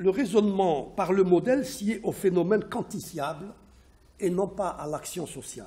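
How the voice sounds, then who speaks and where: A man with a non-native accent, high-pitched for a man, with a dark, mellow tone, a fairly slow pace and big swings in loudness. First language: not French (speaking French). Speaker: sociologist and economist researcher. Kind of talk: academic presentation. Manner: halting, many hesitations and repetitions.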